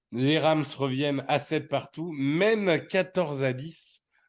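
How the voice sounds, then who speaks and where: Over a quiet background, a man talks at a fairly high pitch with ordinary pitch variation. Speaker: podcast host. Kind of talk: casual chat.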